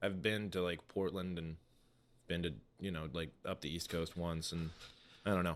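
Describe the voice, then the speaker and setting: A man speaks with a very deep, low pitch at a moderate pace. He takes long, frequent pauses. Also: fairly even intonation. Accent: American. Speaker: stand-up comedian. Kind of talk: casual chat.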